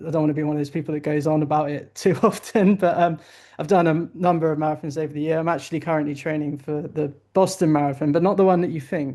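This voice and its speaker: Against a quiet background, a man with a British accent speaks very fast in a dark, mellow tone, fairly high in pitch with fairly even intonation. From southern England. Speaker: investment analyst. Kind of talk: interview. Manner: hesitant, with fillers.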